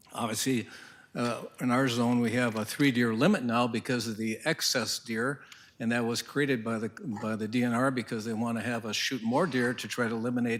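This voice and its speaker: Speaking with an Upper Midwest accent, a man talks at a fairly quick pace. His voice sits at medium pitch with fairly even intonation. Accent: Upper Midwest (Minnesota). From northern Minnesota. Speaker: hunter and landowner speaking at public forum. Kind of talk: public comment at county board meeting. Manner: halting, many fillers.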